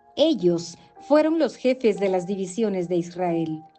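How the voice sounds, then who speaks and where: A woman speaks at a very slow pace while music plays in the background. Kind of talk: scripture reading.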